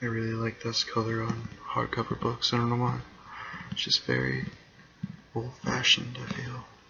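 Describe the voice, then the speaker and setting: A man whispering at a moderate pace, with long, frequent pauses and noticeable background noise. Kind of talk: ASMR whispering and rambling. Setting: laptop microphone. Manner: whispered.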